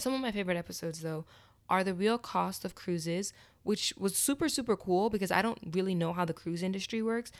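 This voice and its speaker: The woman talks at a very fast pace, her pitch medium with ordinary variation. The recording is very clean, with a silent background. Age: 20s. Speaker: podcast host. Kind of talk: solo casual monologue.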